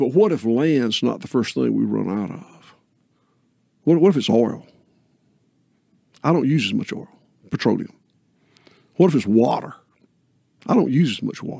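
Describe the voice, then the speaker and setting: Speaking with a Southern US accent, a man with a dark, mellow tone and vocal fry makes very wide pitch swings and long, frequent pauses, on a dry sound with no echo and a quiet background. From US South. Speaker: regenerative farmer; podcast guest. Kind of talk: podcast conversation. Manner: slow, deliberate. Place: studio. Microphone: studio mic.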